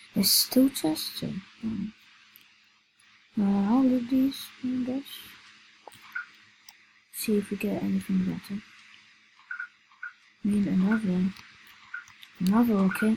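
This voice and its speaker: A woman's medium pitch with ordinary variation, at a fairly slow pace with long, frequent pauses, music in the background. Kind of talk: casual gaming commentary.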